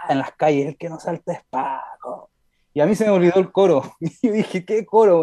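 The recording is dry and close, with no echo. A man talks in a high voice with lively intonation. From Montreal, Quebec, Canada, to Chilean parents. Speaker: singer-songwriter. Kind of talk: radio interview. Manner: halting.

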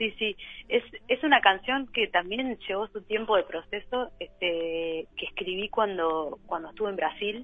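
A woman in a normal speaking voice, medium pitch, ordinary pitch variation and a fairly slow pace. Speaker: singer-songwriter. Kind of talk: interview. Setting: phone call. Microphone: remote line with delay.

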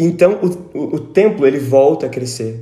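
A man's voice with audible room echo. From Brazil, São Paulo state (Tatuí). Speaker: teacher and musician. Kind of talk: casual Bible study discussion.

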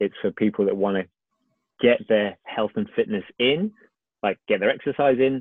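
Speaking at a moderate pace, a man with an unremarkable speaking voice keeps his pitch fairly low and varies it in an ordinary way. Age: 40s. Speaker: fitness instructor and business owner. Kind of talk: casual interview. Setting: video call. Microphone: occasional crackle from video call.

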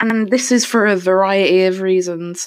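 A woman at medium pitch speaks at a very slow pace with fairly even intonation. The sound is dry and close with no echo, on a very clean recording with a silent background. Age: young. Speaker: podcaster. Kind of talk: solo monologue.

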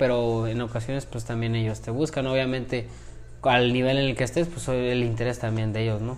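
With audible room echo around him, a man talks at a moderate pace and a medium pitch. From Mexico, Celaya. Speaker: professional boxer. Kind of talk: interview.

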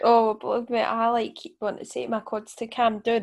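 Very clean and set against a silent background, the recording carries a woman's fairly high voice with a Scottish accent. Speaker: podcast host.

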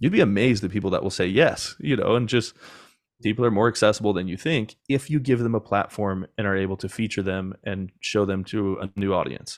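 Over a quiet background, a man with a plain, everyday voice speaks at a fairly quick pace, fairly low in pitch, with ordinary pitch variation. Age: 30s. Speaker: podcast agency founder. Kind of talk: casual interview chat.

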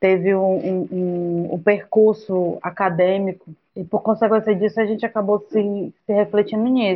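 A woman speaks at a fairly slow pace with a medium pitch and fairly even intonation. She hardly pauses at all. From Ceará, Brazil (Camocim). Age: 30s. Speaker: agronomy student and activist. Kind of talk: interview. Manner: halting.

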